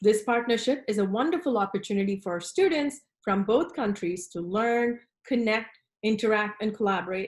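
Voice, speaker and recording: At a moderate pace, a woman with a fairly high pitch speaks in a somewhat breathy voice. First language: not English. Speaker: design professor. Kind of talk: recorded conference presentation. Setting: online presentation with screen share. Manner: formal.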